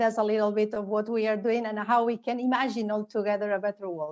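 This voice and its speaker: A woman's very fast, fairly high-pitched speech in a Spanish accent. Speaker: educator and theater organization founder. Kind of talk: panel discussion. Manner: halting.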